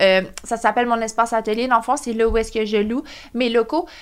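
A woman speaks at a fairly quick pace in a Quebec accent. Her pitch is fairly high. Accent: Québécois French. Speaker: entrepreneur, skincare company founder. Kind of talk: interview, personal story.

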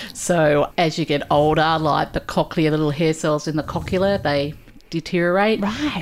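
Her pitch is very deep and low for a woman, with fairly even intonation. She speaks with an Australian accent. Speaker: audiologist. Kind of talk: casual interview chat.

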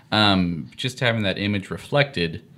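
With an American accent, a man talks at a moderate pace in a fairly low pitch, an unremarkable speaking voice. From Kansas, Topeka. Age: 30s. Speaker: apparel business owner. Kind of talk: casual interview.

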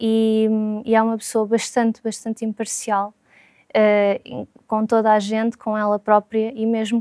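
The sound is dry and close, with no echo. A woman talks at a fairly high pitch and a very slow pace, her dark, mellow tone staying monotone and flat. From Portugal, Lisbon. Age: 30s. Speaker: consultant. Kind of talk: testimony. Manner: hesitant, many fillers.

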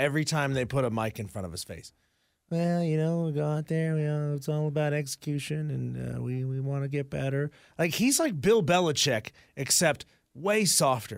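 The recording is very clean with a silent background, carrying a man's fairly high-pitched, a normal speaking voice with ordinary pitch variation. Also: moderate pace. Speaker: radio host. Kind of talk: casual banter.

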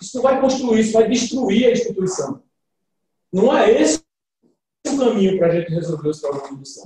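A man's high-pitched voice swings very widely in pitch at a fairly quick pace. He takes long, frequent pauses. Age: 50s. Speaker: civil engineer and club presidential candidate. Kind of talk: interview, campaign pitch. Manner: halting, many fillers.

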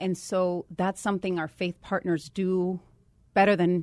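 Speaking at a moderate pace in a fairly low pitch, a woman has a Puerto Rican accent. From Puerto Rico. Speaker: state government official. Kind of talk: radio interview.

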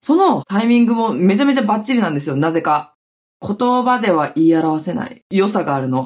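A woman's animated, somewhat breathy voice at a medium pitch, moving at a fairly quick pace with very wide pitch swings. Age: 30s. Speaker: podcast host and TikTok creator. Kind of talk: casual solo talk. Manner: animated, frequent laughter.

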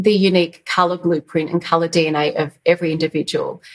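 Talking fairly quickly, a woman speaks in an Australian accent. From Australia, Yarra Valley east of Melbourne. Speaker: stylist and colour consultant. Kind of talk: interview.

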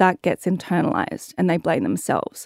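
A woman with a fairly low pitch and a dark, mellow tone speaks at a moderate pace. The recording is very clean, with a silent background and a dry, close sound with no echo. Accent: Australian. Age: 30s. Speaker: activewear founder and content creator. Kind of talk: casual interview chat.

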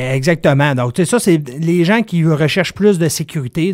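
On a very clean recording with a silent background and a dry, close sound with no echo, a man talks at a fairly quick pace and fairly high pitch in an ordinary speaking voice. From Quebec, Dolbeau-Mistassini. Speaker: wealth management advisor. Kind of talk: explanatory interview. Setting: studio.

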